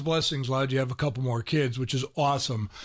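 Noticeable background noise surrounds a man speaking at a very fast pace. His pitch is fairly high and his intonation fairly even. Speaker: radio host. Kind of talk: interview. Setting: studio.

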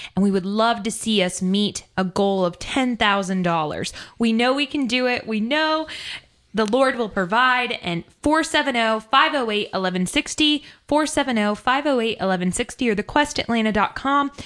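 A woman speaks in a normal speaking voice, fairly high in pitch, with lively intonation. Her pace is moderate, and the background is quiet. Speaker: radio host. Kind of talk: pledge drive radio hosting. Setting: studio.

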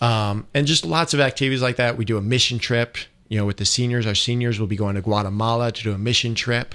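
A man with an unremarkable speaking voice and an American accent, medium in pitch, fairly quick and fairly even in intonation, against a quiet background. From Northern Michigan, US. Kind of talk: interview on radio.

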